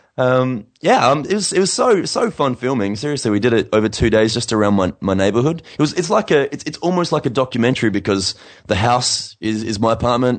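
With an Australian accent and medium pitch, a man talks at a fairly quick pace with lively intonation and hardly any pauses. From Australia, Adelaide. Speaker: singer-songwriter. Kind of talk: casual interview.

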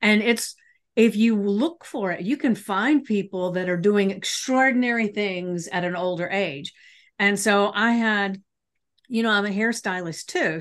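A woman's medium-pitched, unremarkable speaking voice with ordinary pitch variation, set against a quiet background. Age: 60s. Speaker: podcast host and life coach. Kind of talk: casual interview chat.

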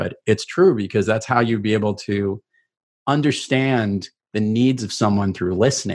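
The speaker has a New York accent and ordinary pitch variation. The background is quiet. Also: man. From New York, Queens (Rockaway Beach). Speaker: keynote speaker and sales mentor. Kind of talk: interview conversation. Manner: animated.

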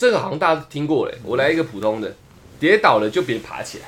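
The man's tone is animated. He moves along at a fairly quick pace. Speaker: podcast host. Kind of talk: casual chat.

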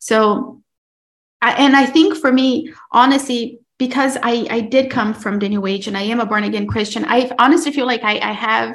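Vocal fry in a woman's fairly high voice, moderate in pace with ordinary pitch variation. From Brazil. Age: 30s. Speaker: podcast host and mom. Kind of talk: testimony.

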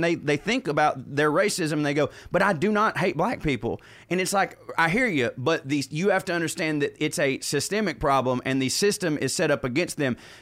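In a Southern US accent, the speaker talks at a fairly quick pace with ordinary pitch variation and very even loudness. The recording is very clean, with a silent background. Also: man. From US South, Georgia. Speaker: comedian. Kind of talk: casual chat.

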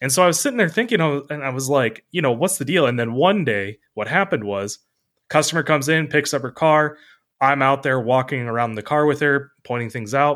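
Speaking at a fairly quick pace in a plain, everyday voice, a man with a fairly high pitch and ordinary pitch variation comes through in a very clean recording with a silent background. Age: 30s. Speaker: auto body business co-founder. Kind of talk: casual chat.

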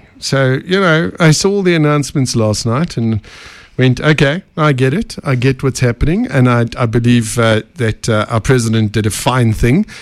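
A man speaks with a South African accent. His pitch is medium and his intonation lively. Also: moderate pace. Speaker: podcast host. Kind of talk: casual interview.

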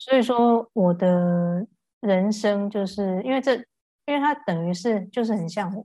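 Speaking at a fairly slow pace, a woman has a dark, mellow tone. Her pitch is medium and varies in an ordinary way. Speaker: voice healer. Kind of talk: casual chat. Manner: calm, gentle.

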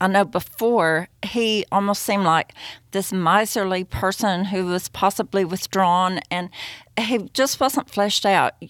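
In a Southern US accent, a woman talks at a very slow pace and a medium pitch with ordinary pitch variation, in a dry, close sound with no echo on a very clean recording with a silent background. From US Southeast. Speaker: podcast host. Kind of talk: interview. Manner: enthusiastic.

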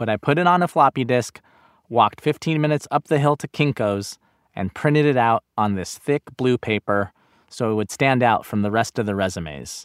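A man with a General American accent and an unremarkable speaking voice, lively intonation at a moderate pace, on a very clean recording with a silent background. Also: dry, close sound with no echo. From Los Angeles, Inglewood. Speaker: podcast host and narrator. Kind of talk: scripted narration.

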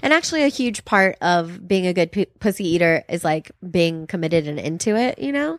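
A woman with a fairly low pitch uses an ordinary speaking voice at a fairly quick pace, with ordinary pitch variation and hardly any pauses, the sound dry and close with no echo. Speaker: comedian. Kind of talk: casual chat. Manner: laughs often.

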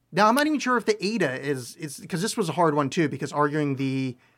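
Fairly high in pitch, a man speaks at a fairly quick pace in an unremarkable speaking voice. The recording is very clean, with a silent background. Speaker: podcast host and author. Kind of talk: casual chat.

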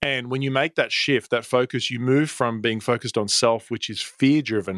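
A man with an Australian accent talks at a fairly quick pace and fairly even intonation, in a dry, close sound with no echo on a very clean recording with a silent background. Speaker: professional speaker and storytelling coach. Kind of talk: interview, casual chat.

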